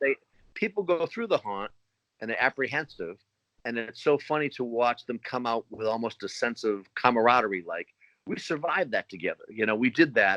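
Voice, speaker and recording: A man's medium-pitched voice with a Boston accent, bright and sharp in tone, animated, with lively intonation, a fairly quick pace, and a dry, close sound with no echo. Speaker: haunted attraction owner. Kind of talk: interview.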